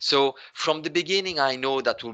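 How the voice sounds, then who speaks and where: Bright and sharp in tone, a man with a non-native accent speaks with lively intonation. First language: not English. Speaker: business applications consultant. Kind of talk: webinar Q&A answer. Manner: conversational, frequent fillers.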